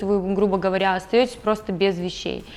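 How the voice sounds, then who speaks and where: Music is playing behind the speaker. She is a woman with a medium pitch. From Siberia, Russia (Krasnoyarsk). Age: 20s. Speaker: immigrant telling her story. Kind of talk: interview. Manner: hesitant, with fillers.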